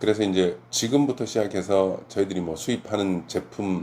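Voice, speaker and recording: A man's very deep, low voice, dark and mellow in tone, at a moderate pace. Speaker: olive oil importer. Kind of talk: informational talk to camera. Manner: hesitant with fillers.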